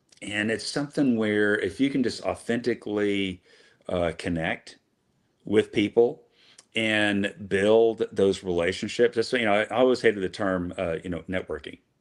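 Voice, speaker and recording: Speaking at a fairly slow pace, a man uses a fairly low pitch with ordinary pitch variation in a very clean recording with a silent background. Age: 50s. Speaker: business executive. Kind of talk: casual interview chat. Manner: halting, many fillers.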